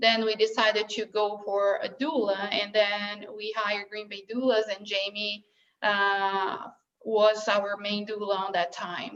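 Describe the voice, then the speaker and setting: A woman speaks at a fairly slow pace with a Brazilian Portuguese accent. Her intonation is monotone and flat, yet her loudness swings widely. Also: medium pitch for a woman. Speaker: bereaved mother sharing her story. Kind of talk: personal testimony. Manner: halting, many fillers.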